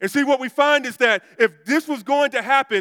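A man with an American accent projects a raised voice at an extremely high pitch. The tone is bright and sharp, and the sound is dry and close with no echo. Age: 40s. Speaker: pastor. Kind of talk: sermon.

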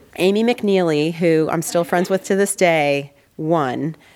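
With an American accent, a woman with a fairly low voice speaks at a fairly slow pace and ordinary pitch variation amid noticeable background noise. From Northern California. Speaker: artist and illustrator. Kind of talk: interview conversation. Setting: studio.

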